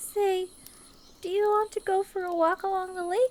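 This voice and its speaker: Her voice is a put-on character voice. A woman pitches it extremely high. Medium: audio drama. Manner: soft, caring.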